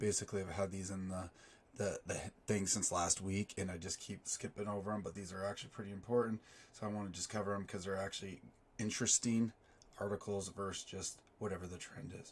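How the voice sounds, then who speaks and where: Very fast and monotone, a man speaks in a fairly low pitch with flat intonation. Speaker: crypto finance youtuber. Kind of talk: news commentary. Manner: casual, halting with fillers.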